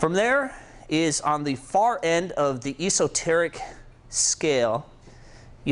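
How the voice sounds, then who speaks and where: This is a man talking. His pitch is fairly high. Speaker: programming instructor. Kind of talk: tutorial. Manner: casual, with fillers.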